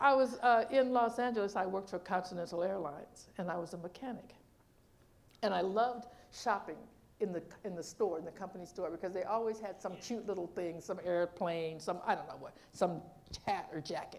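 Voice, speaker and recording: A woman with a medium-pitched voice speaks fairly quickly in an animated tone with ordinary pitch variation. Audible room echo surrounds her. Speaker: minister. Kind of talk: sermon. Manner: fast.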